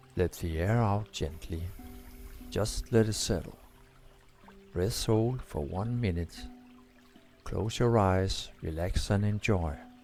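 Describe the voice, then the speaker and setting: With music in the background, a man with a fairly low voice speaks in a calm tone at a very slow pace. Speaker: breathwork instructor. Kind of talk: guided breathwork session. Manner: slow, calm.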